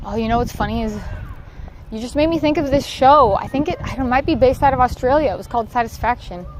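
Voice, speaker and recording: A woman with an American accent speaks at a fairly quick pace in a high voice, her pitch varying in an ordinary way, with noticeable background noise. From Southern California. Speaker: livestreamer. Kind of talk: casual chat. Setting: outdoors in a park.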